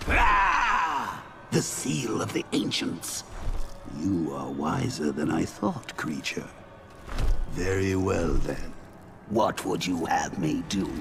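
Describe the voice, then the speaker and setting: A man performs a cartoonish character voice at a very slow pace. Clear background noise runs underneath. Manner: imperious, menacing.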